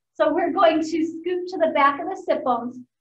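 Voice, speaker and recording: Audible room echo surrounds a woman talking at a moderate speed. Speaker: fitness instructor. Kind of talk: instruction, exercise cueing. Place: gym. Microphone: camera far.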